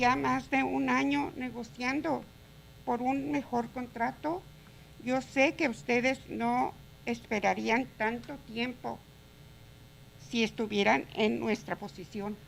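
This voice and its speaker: A woman's fairly high, fairly slow voice with vocal fry, very wide pitch swings and long, frequent pauses. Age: 60s. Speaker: home care provider, public commenter. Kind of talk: public comment.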